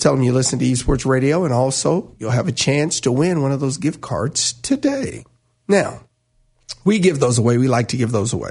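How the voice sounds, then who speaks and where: A man's fairly high, somewhat breathy voice with lively intonation. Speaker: radio host. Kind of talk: live sports talk radio banter, bright and chatty. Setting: radio studio.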